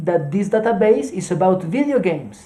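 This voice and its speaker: A Colombian accent at a moderate pace. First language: Spanish. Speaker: streamer teaching SQL. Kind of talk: tutorial. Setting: live stream. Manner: halting, many fillers.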